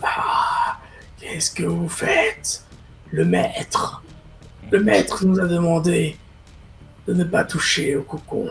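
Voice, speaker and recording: A man does a raspy, put-on character voice at a fairly slow pace, with long, frequent pauses. Clear music plays in the background. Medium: actual play. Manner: servile yet ominous.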